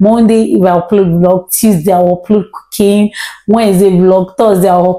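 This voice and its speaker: Against a quiet background, a woman speaks in a dark, mellow tone. Her intonation stays fairly even. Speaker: home cooking vlogger. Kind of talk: casual vlog chat. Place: kitchen. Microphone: lapel.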